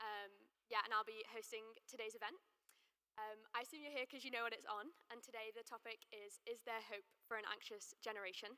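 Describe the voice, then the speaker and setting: A woman with an ordinary speaking voice talks at a fairly quick pace. Her fairly high pitch stays fairly even. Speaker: student event host. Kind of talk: event introduction. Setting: lunchtime event with audience.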